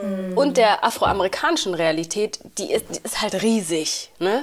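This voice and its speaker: A woman speaks with lively intonation at a medium pitch. It is an ordinary speaking voice. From Uganda / Rwanda. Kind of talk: casual chat.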